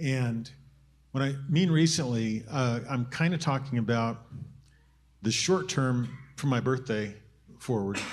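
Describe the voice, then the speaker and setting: A somewhat breathy man speaks with audible room echo. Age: 70s. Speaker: church leader. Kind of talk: short talk to a church group. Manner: halting, many repeated words.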